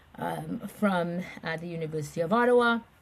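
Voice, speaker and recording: A speaker with a Caribbean accent talks at a fairly slow pace. The voice is somewhat breathy. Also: woman. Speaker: nonprofit chief executive. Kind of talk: interview conversation.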